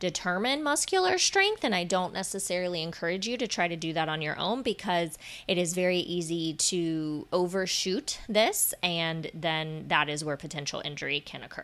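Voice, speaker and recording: Using an ordinary speaking voice, a woman talks at a moderate pace and fairly low pitch with lively intonation. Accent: American. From Florida. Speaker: fitness and Pilates instructor, podcast host. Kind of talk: solo podcast monologue. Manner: warm, conversational.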